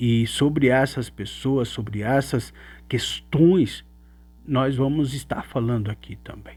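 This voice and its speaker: In a very clean recording with a silent background, a man with a Brazilian accent speaks very slowly in a somewhat breathy, medium-pitched voice with ordinary pitch variation. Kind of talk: religious teaching monologue. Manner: halting, with fillers.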